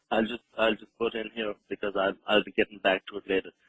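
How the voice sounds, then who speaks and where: A fairly low-pitched man at a fairly quick pace, with an Irish accent. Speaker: radio host. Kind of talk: radio interview. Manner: halting.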